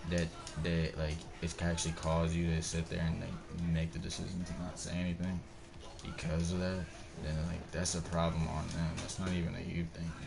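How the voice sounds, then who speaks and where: Music plays in the background as a man with a very deep, low pitch talks at a moderate pace in a monotone, flat intonation, with audible room echo. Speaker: gaming streamer. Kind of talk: casual chat. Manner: halting; slight stutter.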